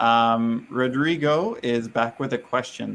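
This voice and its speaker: In a Canadian accent, a man with an ordinary speaking voice and ordinary pitch variation talks over a quiet background. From Canada. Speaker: livestream host, business owner. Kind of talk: livestream interview.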